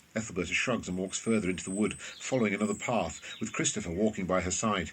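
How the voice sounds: Speaking fast, a man with a low pitch keeps his intonation fairly even. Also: fairly bright tone.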